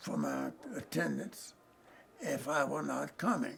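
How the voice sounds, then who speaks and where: With a Southern US accent, a man talks over noticeable background noise. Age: 80s+. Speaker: retired lawyer. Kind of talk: oral history interview. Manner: halting.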